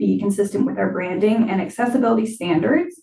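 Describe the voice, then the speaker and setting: A woman's somewhat breathy voice at medium pitch. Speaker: library staff presenter. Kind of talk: presentation at board meeting. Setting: board meeting.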